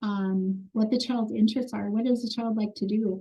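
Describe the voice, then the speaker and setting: Her voice fairly high yet dark and mellow in tone, a woman speaks somewhat breathily with monotone, flat intonation. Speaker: foster care trainer. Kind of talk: training webinar. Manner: fast.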